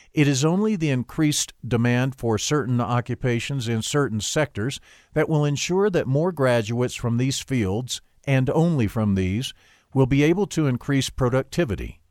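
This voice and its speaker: On a very clean recording with a silent background, a man with an ordinary speaking voice and medium pitch talks at a moderate pace with lively intonation and very even loudness. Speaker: audiobook narrator. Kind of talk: audiobook reading of a nonfiction book, steady and formal. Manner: measured, even-paced, formal.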